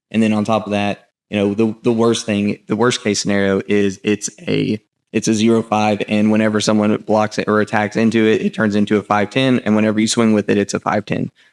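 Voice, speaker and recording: Speaking at a fairly quick pace with an American accent, a man with a fairly low pitch keeps a monotone, flat intonation and very even loudness in a dry, close sound with no echo. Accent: southern US accent, comes out at times. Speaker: gaming content creator. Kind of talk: card set review. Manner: casual, many filler words.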